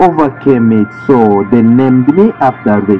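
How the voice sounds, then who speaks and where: Music sits in the background. A man talks at a fairly slow pace. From DR Congo, Bukavu. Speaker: poet. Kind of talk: spoken word poetry. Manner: dramatic.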